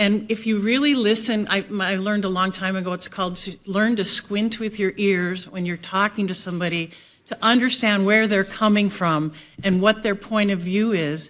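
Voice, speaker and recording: On a very clean recording with a silent background, a woman speaks at a moderate pace and a medium pitch. Her intonation is fairly even, an ordinary speaking voice. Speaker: city commissioner and mayoral candidate. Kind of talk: candidate forum answer.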